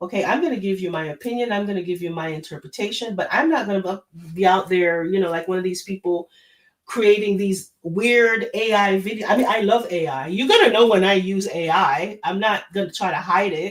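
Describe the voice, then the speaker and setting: Speaking with a Jamaican accent, a woman of medium pitch talks at a fairly quick pace with hardly any pauses, her tone animated and her pitch varying in an ordinary way. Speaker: live stream host, royal gossip commentator. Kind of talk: casual live stream commentary. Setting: live stream.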